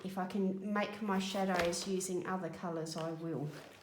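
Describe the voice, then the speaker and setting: A woman's voice carries noticeable background noise and audible room echo. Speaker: colouring video creator. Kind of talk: casual chat while colouring. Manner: relaxed, hesitant fillers.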